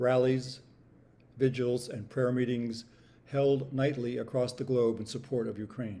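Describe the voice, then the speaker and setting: A man's voice comes across somewhat breathy, with a dark, mellow tone. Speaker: host and MC. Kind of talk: spoken word reading.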